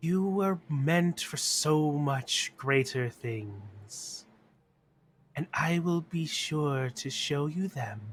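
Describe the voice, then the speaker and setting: A man puts on a character voice, speaking at a fairly high pitch and a very slow pace. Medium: actual play. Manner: creepily tender.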